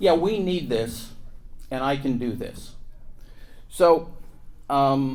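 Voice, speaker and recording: A very slow American accent with long, frequent pauses, ordinary pitch variation and audible room echo. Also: man. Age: 70s. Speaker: lawyer and former county commissioner. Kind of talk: conference panel talk. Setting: stage with audience.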